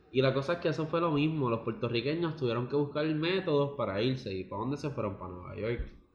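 A man talks very fast at a fairly high pitch. His voice is somewhat breathy, with lively intonation. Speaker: podcast co-host. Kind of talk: casual chat.

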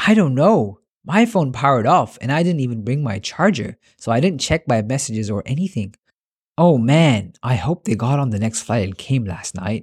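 The recording is very clean, with a silent background. A man speaks in a somewhat breathy voice with very wide pitch swings. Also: medium pitch for a man, moderate pace. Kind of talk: dramatic story dialogue.

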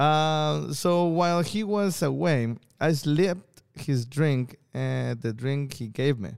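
In a Spanish accent, a man speaks at a very slow pace with lively intonation over a very clean recording with a silent background. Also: fairly high pitch for a man. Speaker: stand-up comedian and podcast co-host. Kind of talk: casual chat. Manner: halting.

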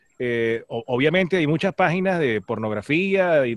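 A man at a fairly slow pace, with a dry, close sound and no echo. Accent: Venezuelan. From Venezuela, Maracay. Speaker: radio host. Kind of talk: casual chat.

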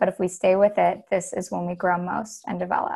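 Here a woman talks at a moderate pace and a medium pitch. Her voice is somewhat breathy. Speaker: artist and filmmaker. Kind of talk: casual interview.

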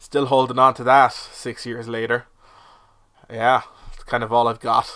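A man with a Cork accent, monotone and flat, bright and sharp in tone, at a fairly slow pace with long, frequent pauses. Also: medium pitch for a man, big swings in loudness. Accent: Cork Irish. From Ireland, Cork. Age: 20s. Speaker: podcast host. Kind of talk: comedic monologue. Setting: shed.

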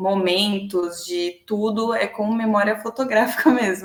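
Background noise is clearly present as a woman talks with a fairly flat, even intonation. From São Paulo ABC region, Brazil. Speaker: marketing professional. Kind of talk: casual interview.

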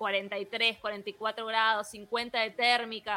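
Pitched fairly high, a woman speaks with a bright, sharp tone and a Misiones Argentine accent. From Argentina, Misiones province. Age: 30s. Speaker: software engineer and programming teacher. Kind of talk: interview.

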